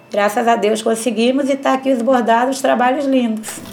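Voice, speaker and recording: A woman's fairly high voice at a fairly quick pace, against noticeable background noise. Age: 50s. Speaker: embroiderer. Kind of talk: testimony.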